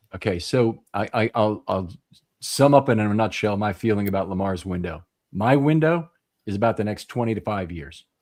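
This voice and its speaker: A man talks with an ordinary speaking voice at a fairly low pitch. His intonation is lively and his pace moderate. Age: 60s. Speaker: football draft analyst show host. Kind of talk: live draft panel discussion.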